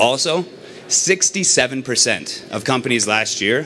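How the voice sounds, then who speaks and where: With lively intonation, a man talks while noticeable background noise is audible. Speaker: startup executive. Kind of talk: sales pitch.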